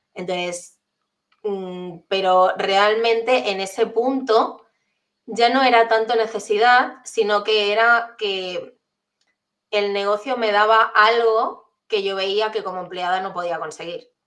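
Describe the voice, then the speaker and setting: A woman's voice at a very slow pace, with fairly even intonation. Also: medium pitch for a woman. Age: 30s. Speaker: entrepreneur and transformation coach. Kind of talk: interview conversation.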